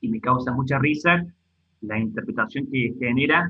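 A man speaks in a normal speaking voice at a medium pitch, with ordinary pitch variation and a moderate pace. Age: 30s. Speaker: online video parody creator. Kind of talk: casual chat.

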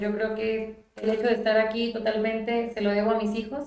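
A woman's fairly high voice in a flat, monotone delivery. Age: 20s. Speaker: mayor. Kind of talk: interview. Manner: halting.

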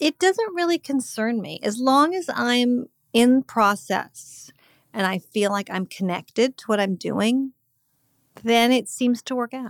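Her pitch high and her pace fairly slow, a woman with an American accent is captured on a very clean recording with a silent background and a dry, close sound with no echo. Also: lively intonation. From California (Montecito). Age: 60s. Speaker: screenwriter and author. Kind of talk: casual interview. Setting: at home.

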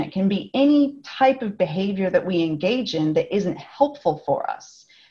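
A woman with an American accent speaks in a somewhat breathy, fairly high voice whose pitch swings very widely. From California, US. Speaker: speaker and author. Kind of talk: casual interview.

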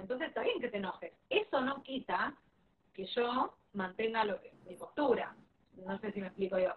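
A woman talks with a Rioplatense accent. Her pitch varies normally while her loudness swings widely. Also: fairly high pitch for a woman, moderate pace. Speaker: parenting educator. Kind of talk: live-stream interview.

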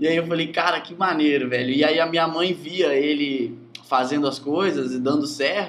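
A man's fairly high voice with fairly even intonation, noticeable background noise and audible room echo. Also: moderate pace. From Brazil, rural Espírito Santo. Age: 20s. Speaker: software developer. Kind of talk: casual interview.

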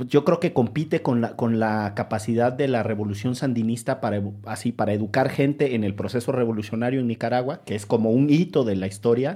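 A man with an ordinary speaking voice at medium pitch, fairly quick and with hardly any pauses, with ordinary pitch variation. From Orizaba, Veracruz. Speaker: podcast host, lawyer. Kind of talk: casual conversation.

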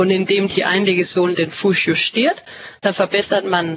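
A woman with a Danish accent talks at a medium pitch and a moderate pace. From Denmark. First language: Danish (speaking German). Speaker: company representative. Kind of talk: interview. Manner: halting, searching for words.

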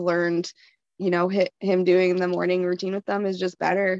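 A woman with a Canadian accent talks at a moderate pace in a medium pitch. Her intonation is monotone and flat, and the sound is dry and close with no echo. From Canada. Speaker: anonymous guest, parent with BPD. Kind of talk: casual chat.

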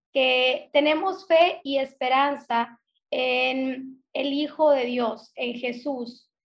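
The woman's voice sits high in pitch and shows ordinary pitch variation. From northern Mexico (Sonora, Hermosillo). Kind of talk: casual faith conversation.

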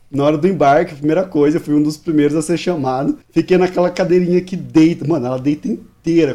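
A man's dark, mellow voice, fairly high in pitch, at a very fast pace with hardly any pauses and fairly even intonation. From Maranhão, northeastern Brazil. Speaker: podcast editor. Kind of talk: casual chat.

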